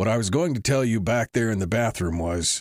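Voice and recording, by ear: The text is read aloud in a natural voice, and the intonation is lively.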